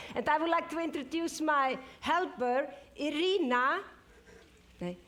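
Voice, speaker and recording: The pace is fairly slow and the tone bright and sharp, with ordinary pitch variation. Audible room echo surrounds the voice. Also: woman, high pitch for a woman. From Iceland. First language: Icelandic. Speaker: superfood expert. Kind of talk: live presentation. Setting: stage with audience.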